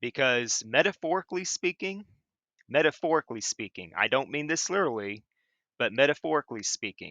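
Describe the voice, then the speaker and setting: A man with an American accent speaks with vocal fry. His fairly high voice has very wide pitch swings. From Chillicothe, Ohio, USA. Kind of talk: angry rant to camera. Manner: raised voice, forceful.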